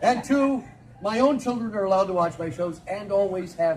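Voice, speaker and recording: Over noticeable background noise, a man with an American accent talks fairly quickly in a high voice that swings very widely in pitch. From Minnesota. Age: 60s. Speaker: storyteller. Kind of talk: live storytelling performance. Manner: animated.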